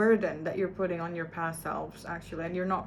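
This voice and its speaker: A woman with a non-native accent speaks at a fairly low pitch, and the room's echo is audible. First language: not English. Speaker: vlogger. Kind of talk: personal video diary. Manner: halting.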